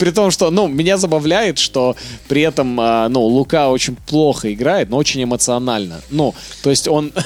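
Over noticeable background noise, the voice keeps very even loudness, a moderate pace and lively intonation. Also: man, fairly high pitch for a man. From Kazakhstan, later Canada. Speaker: stand-up comedian. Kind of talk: casual chat. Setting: studio.

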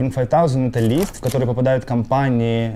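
A man of medium pitch at a moderate pace, with noticeable background noise. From Ukraine. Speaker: company co-founder. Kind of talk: interview.

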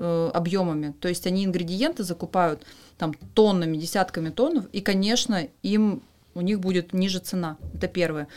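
A woman speaks in an unremarkable speaking voice at a medium pitch. Her pace is moderate and her pitch variation ordinary. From Western Siberia, Russia. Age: 30s. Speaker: pharma marketing director. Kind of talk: podcast interview.

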